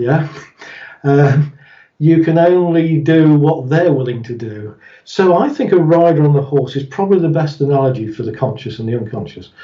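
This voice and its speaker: This man has a British accent and a fairly high pitch with ordinary variation. His voice is somewhat breathy. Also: moderate pace. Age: 60s. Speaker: therapist. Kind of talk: interview.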